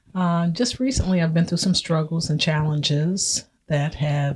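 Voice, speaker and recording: A somewhat breathy woman's voice, very deep and low in pitch, with fairly even intonation. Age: 60s. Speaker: retired cosmetology educator and cancer survivor. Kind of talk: personal testimony in casual chat. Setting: video podcast recording.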